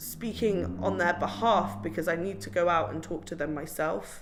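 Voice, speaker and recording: A woman speaks at a moderate pace with vocal fry, and the room echo is audible. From Somerset, England. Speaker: community activist. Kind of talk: interview. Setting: cafe. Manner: animated.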